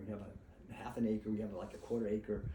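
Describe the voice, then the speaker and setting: A man with a fairly low pitch and an American accent. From Massachusetts, Boston area. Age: 70s. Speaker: author and vegan speaker. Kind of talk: informal talk to small audience. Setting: gathering in a private house. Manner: fast.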